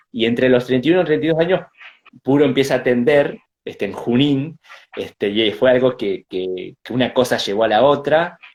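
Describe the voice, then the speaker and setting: Talking fairly quickly in a Rioplatense accent, a man keeps a medium pitch with ordinary pitch variation. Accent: Argentine Spanish (rioplatense). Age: 30s. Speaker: Mapuche shaman and spiritual healer. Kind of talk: interview, personal life story. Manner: halting, many fillers and repetitions.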